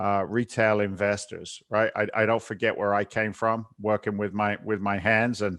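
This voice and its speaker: With an American accent and a fairly low pitch, a man talks at a moderate pace in a monotone, flat intonation, with very even loudness, hardly any pauses, and a quiet background. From southern England. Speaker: real estate investor and TV host. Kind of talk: podcast interview.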